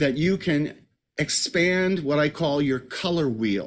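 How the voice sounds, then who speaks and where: A man with an American accent talks at a fairly slow pace in a normal speaking voice, fairly high in pitch, with lively intonation. The recording is very clean, with a silent background. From United States. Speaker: Broadway performer and voice teacher. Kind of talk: interview.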